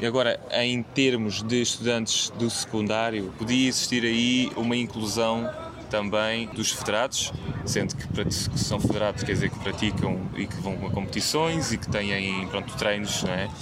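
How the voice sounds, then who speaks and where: In a room with audible echo and noticeable background noise, a man speaks at a medium pitch and fairly slow pace with fairly even intonation. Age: 20s. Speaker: university student athlete. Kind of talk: interview. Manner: halting.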